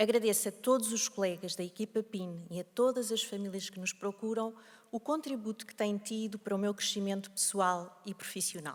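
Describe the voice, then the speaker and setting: In a European Portuguese accent, a woman talks at a moderate pace and medium pitch, with fairly even intonation and big swings in loudness. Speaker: developmental pediatrician. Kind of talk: opening speech. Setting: stage with audience. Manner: formal.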